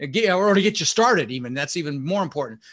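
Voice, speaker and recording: Against a quiet background, a man speaks fairly quickly at a high pitch with very wide pitch swings. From Netherlands, raised in Denver, Colorado. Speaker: real estate investor and coach. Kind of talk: interview. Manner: animated.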